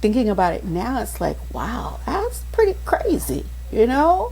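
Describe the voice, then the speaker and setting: A woman speaking very slowly, with audible room echo. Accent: American. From Maryland. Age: 60s. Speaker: pastor and coach. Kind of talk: podcast interview. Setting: podcast.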